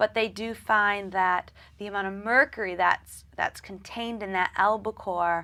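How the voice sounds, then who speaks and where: The recording is very clean, with a silent background. A woman with a Midwestern accent talks at a moderate pace and medium pitch with fairly even intonation. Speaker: dietitian. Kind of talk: interview.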